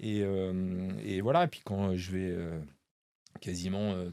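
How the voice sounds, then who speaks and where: The recording is very clean, with a silent background. The voice has monotone, flat intonation. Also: man. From western France, La Rochelle. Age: 50s. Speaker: magician. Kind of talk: interview. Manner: halting, many fillers.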